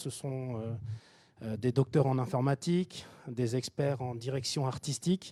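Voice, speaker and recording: Speaking in a Japanese accent, a man goes at a fairly slow pace with a dark, mellow tone. The sound is dry and close, with no echo. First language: Japanese (speaking French). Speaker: tech company founder presenting at a workshop. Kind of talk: conference presentation. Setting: hybrid event, live audience and online. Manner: hesitant, many repetitions.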